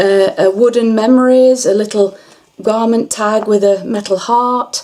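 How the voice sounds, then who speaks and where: Her fairly high voice moves at a fairly slow pace with fairly even intonation. The woman is heard over noticeable background noise. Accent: English. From England. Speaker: crafter. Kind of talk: tutorial. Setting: bedroom. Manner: halting.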